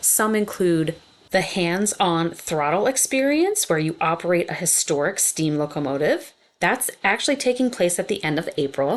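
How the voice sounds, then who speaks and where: A woman speaks with an American accent and a fairly low pitch. Her voice moves through very wide pitch swings. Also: moderate pace. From Pennsylvania coal region (Schuylkill area). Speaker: YouTube travel vlogger. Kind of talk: casual vlog narration.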